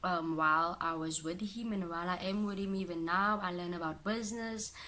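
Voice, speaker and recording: A woman's medium-pitched voice in an Afrikaans accent, at a moderate pace with fairly even intonation. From Cape Town, South Africa. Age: 20s. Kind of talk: casual talk to camera. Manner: emotional.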